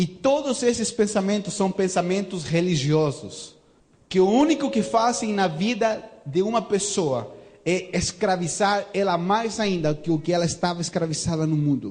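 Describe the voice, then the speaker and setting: Lively intonation and very even loudness mark this voice with a slight non-native accent, heard over noticeable background noise. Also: man, high pitch for a man, moderate pace. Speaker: visiting pastor. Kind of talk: sermon. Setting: church service. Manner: animated.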